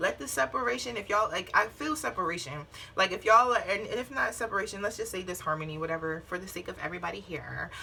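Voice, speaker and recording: Noticeable background noise sits behind a woman speaking at a very fast pace. Her pitch is medium and her intonation lively. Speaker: tarot reader. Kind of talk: tarot reading. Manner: blunt, casual with cursing.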